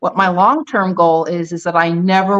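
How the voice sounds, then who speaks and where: A woman with an unremarkable speaking voice talks at a fairly quick pace. Her pitch is fairly low and her intonation fairly even. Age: 60s. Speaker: retired dentist and bikini competitor. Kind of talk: casual chat.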